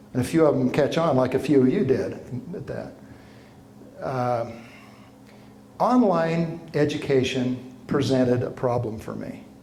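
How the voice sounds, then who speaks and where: Fairly slow delivery from a man with an American accent, medium pitch and ordinary pitch variation, marked by long, frequent pauses, big swings in loudness and audible room echo. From Utah, Ogden area. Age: 60s. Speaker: professor. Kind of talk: lecture. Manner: animated.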